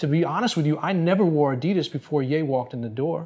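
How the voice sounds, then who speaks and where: A man with an American accent, fairly high pitch and a dark, mellow tone, ordinary pitch variation and a very fast pace over a quiet background. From New Jersey. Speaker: fashion industry expert; interview guest. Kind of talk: interview. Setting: on camera. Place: office.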